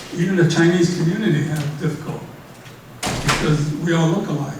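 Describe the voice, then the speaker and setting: Against noticeable background noise and audible room echo, a man with an American accent speaks at a moderate pace with a fairly high pitch and monotone, flat intonation. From San Francisco, California. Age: 80s+. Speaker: speaker sharing wartime incarceration experience. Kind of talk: audience Q&A. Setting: library event room with audience. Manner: halting, repeats words.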